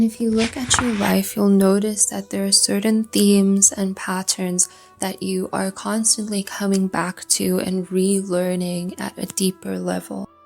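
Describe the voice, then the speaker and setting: A woman's calm, soothing tone at a fairly slow pace with hardly any pauses, music in the background. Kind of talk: calm educational astrology lesson, ASMR style. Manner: calm, soothing, soft-spoken.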